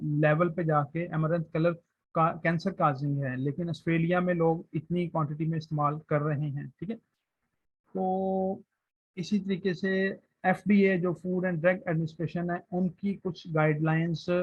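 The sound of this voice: A man speaks at a moderate pace with a fairly high pitch. His voice carries a slightly husky edge. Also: fairly even intonation.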